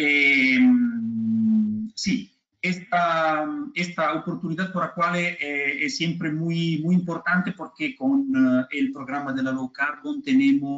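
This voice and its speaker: Talking at a very slow pace in a non-native accent, a man with a high pitch makes very wide pitch swings. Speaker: technical expert presenter. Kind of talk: webinar presentation. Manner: halting.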